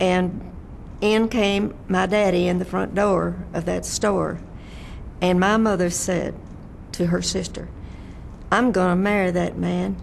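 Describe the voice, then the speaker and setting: Speaking very slowly with long, frequent pauses, a woman with a Texan accent is heard against audible room echo. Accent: Texan Southern US. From Texas, Fort Worth area. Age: 90s. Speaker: oral history interviewee. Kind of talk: oral history interview. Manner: halting.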